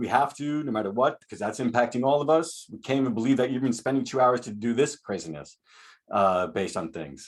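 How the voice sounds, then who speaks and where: A man at a fairly quick pace, with lively intonation. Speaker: school psychologist and professor. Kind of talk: webinar presentation. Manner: fast.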